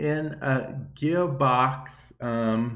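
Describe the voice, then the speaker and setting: Audible room echo around a voice with ordinary pitch variation. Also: man. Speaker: gaming YouTuber podcast host. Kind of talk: casual solo podcast talk.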